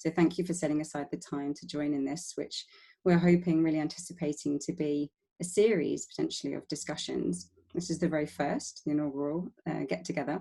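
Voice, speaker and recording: In a London accent, a woman with a very deep, low pitch and dark, mellow tone speaks at a fairly quick pace with fairly even intonation. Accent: London-sounding English. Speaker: webinar moderator. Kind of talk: online panel moderation. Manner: hesitant, many fillers.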